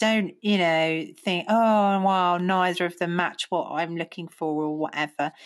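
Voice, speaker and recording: A woman with an English accent speaks fairly slowly at a fairly low pitch. Her intonation is fairly even, and the background is quiet. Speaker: podcast co-host. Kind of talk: casual chat.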